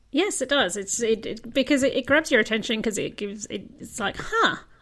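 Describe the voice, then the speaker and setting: A woman talks at a moderate pace, and her pitch varies in an ordinary way. Noticeable noise can be heard behind her. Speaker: podcast host interviewing a guest. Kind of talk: casual interview chat.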